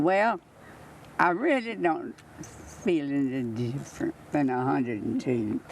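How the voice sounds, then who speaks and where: Noticeable background noise sits behind a woman with a Southern US accent and a very deep, low voice. She speaks very slowly, her pitch swinging very widely. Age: 80s+. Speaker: centenarian birthday celebrant. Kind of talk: casual chat. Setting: outdoors.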